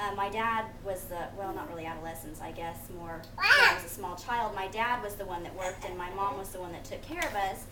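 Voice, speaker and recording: A woman at medium pitch, fairly quick with hardly any pauses and ordinary pitch variation, amid noticeable background noise and audible room echo. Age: 20s. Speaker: college student. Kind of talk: class speech. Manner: hesitant, many fillers.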